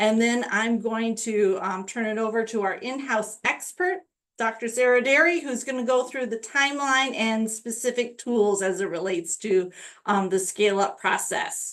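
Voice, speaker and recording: Speaking at a moderate pace, a woman uses a normal speaking voice with fairly high pitch and ordinary pitch variation. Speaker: state education program staff presenting webinar. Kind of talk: webinar tutorial with screen-share walkthrough. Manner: casual with frequent fillers.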